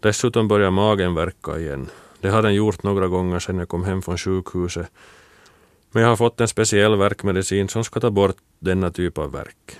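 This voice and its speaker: Recorded very cleanly against a silent background, a man's very deep, low voice comes through dry and close with no echo, his intonation fairly even. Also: moderate pace. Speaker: former shot putter. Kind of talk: scripted narration.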